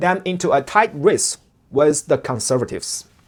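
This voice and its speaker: Spoken at a fairly slow pace with a strong Chinese accent, the voice comes through in a very clean recording with a silent background. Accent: heavy Chinese. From China. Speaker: political commentator. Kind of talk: scripted commentary.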